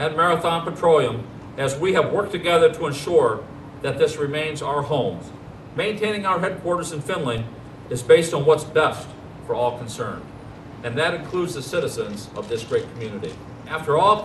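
Light background noise and audible room echo accompany a man speaking at a fairly quick pace. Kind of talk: formal ceremonial speech. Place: street.

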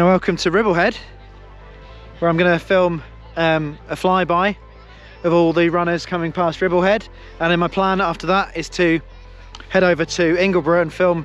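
A man talks at a moderate pace in a high, monotone voice with long, frequent pauses. The sound is dry with no echo, and faint music plays in the background. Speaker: running vlogger. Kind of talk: casual vlog chat. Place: open country. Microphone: phone near.

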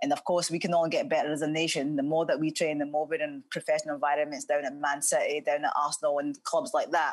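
A woman with a Scottish accent at a very fast pace, hardly any pauses, very even loudness, and a quiet background. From Scotland, Cumbernauld. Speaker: former professional footballer. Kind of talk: interview. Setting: video call. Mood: calm, earnest. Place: home room. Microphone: earbuds.

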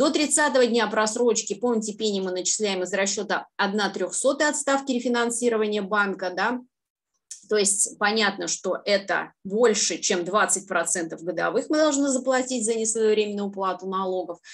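A woman with an unremarkable speaking voice talks at a fairly high pitch with ordinary pitch variation against a quiet background. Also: moderate pace. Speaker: tax consultant and auditor; presenter. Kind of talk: webinar presentation. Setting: video call. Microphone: webcam.

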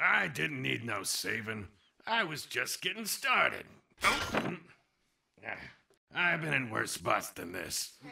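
This cartoonish character voice is raspy and delivered at a fairly slow pace. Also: man, medium pitch for a man. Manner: gruff, grumbling.

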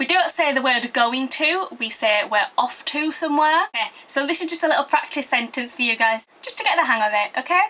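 A woman's raised, projected voice with a Yorkshire accent, high and lively, at a fairly quick pace with hardly any pauses. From Yorkshire, northern England. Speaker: video blogger. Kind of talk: comic tutorial. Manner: animated. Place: home room. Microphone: webcam.

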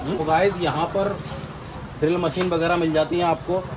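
Over clear background noise, a man with a fairly high voice speaks at a fairly quick pace with little pitch movement.

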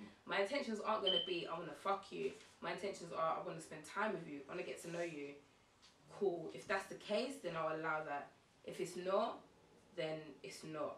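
A woman's fairly low-pitched voice at a fairly quick pace, with audible room echo and light background noise. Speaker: interview guest. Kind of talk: interview answer. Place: home room.

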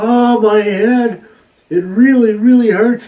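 In a put-on character voice with extremely high pitch, a man speaks at a fairly slow pace. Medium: read story. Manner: playful, whiny, theatrical.

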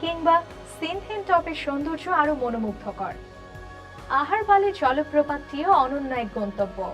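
Music plays in the background as a woman speaks at a high pitch with very wide pitch swings. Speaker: voice over artist. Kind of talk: news presentation.

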